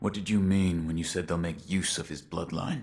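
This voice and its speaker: A man's put-on character voice, very deep and low with fairly even intonation, over faint background music. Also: moderate pace. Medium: video game. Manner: terse, clipped.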